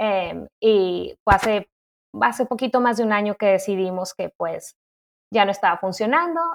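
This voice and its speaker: A woman speaks in an unremarkable speaking voice at medium pitch and a moderate pace. Her intonation is lively, and the sound is dry and close with no echo. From Mexico City, Mexico. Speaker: nursing graduate student. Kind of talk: interview. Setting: remote recording.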